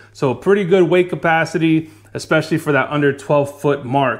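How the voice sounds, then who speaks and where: The man speaks with fairly even intonation over a quiet background. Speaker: kayak fishing reviewer. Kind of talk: product review talk. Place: home room.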